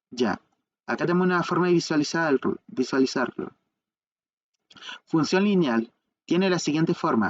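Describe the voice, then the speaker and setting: The speech moves at a moderate pace broken by long, frequent pauses. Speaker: math tutor. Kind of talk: tutorial.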